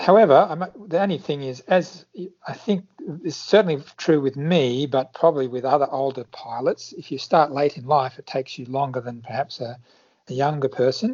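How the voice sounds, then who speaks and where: Speaking with an Australian accent, a man has a fairly high pitch, ordinary pitch variation, and big swings in loudness. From Australia, Sydney area. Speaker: flight instructor. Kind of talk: interview.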